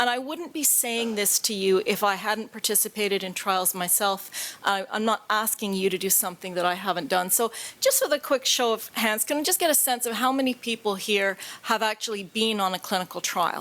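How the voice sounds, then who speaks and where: A woman with a Canadian accent talks at a fairly quick pace with hardly any pauses, her fairly high pitch varying in an ordinary way. Noticeable background noise can be heard. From Canada. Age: 50s. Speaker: patient advocate. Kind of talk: conference talk.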